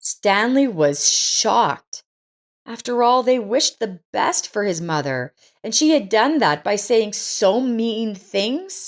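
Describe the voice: A woman speaks at a slow pace in a fairly high voice. Her pitch swings widely.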